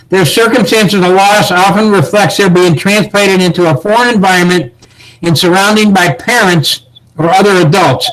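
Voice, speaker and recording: With noticeable background noise, a man with a high pitch talks at a moderate pace, keeping very even loudness and ordinary pitch variation. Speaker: search and rescue instructor. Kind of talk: training lecture.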